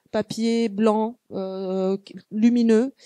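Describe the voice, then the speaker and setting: With a dry, close sound and no echo, a woman speaks at a fairly high pitch in a dark, mellow tone with fairly even intonation. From Tunisia. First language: Arabic (Tunisian) (speaking French). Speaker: visual artist. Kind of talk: panel talk. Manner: halting, many fillers and restarts.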